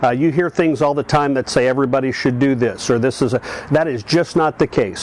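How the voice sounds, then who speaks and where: With noticeable background noise around him, a man talks at a moderate pace in a fairly high voice with ordinary pitch variation. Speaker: senior athlete and fitness channel host. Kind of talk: video monologue. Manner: halting, many fillers.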